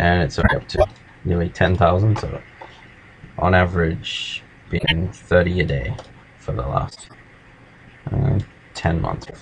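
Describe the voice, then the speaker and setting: The speaker is a man with a very deep, low pitch. Noticeable background noise runs behind him. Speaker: language learning tutorial maker. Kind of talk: tutorial. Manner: casual, hesitant with fillers.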